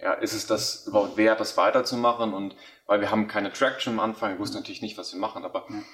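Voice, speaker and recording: A man is speaking. His pace is very fast. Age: 20s. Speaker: company founder. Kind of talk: interview. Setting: office.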